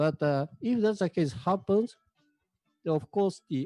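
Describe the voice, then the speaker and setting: Music plays behind a man who speaks very slowly in a Japanese accent. The sound is dry and close, with no echo. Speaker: manga company representative. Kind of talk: panel presentation. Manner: halting.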